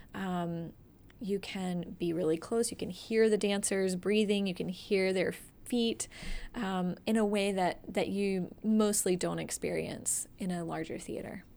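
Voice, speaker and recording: Fairly slow, dark, mellow speech from a woman with an American accent, medium pitch and fairly even intonation, on a very clean recording with a silent background. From Atlanta area, US South. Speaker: dance nonprofit director and dance instructor. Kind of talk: casual interview. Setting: in her office.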